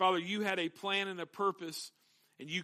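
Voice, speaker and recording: Bright, sharp male tone at a moderate pace, very clean recording with a silent background. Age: young. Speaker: pastor. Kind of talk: sermon.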